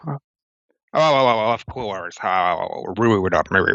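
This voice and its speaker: The man puts on a character voice pitched in the middle range. His delivery is very slow. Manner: polite apologetic.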